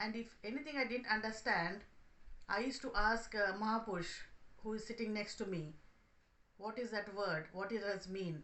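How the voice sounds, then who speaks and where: The speaker has a Telugu accent and ordinary pitch variation, with long, frequent pauses. Audible room echo surrounds the voice. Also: woman, fairly high pitch for a woman, moderate pace. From India, Hyderabad. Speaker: spiritual speaker. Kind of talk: testimony.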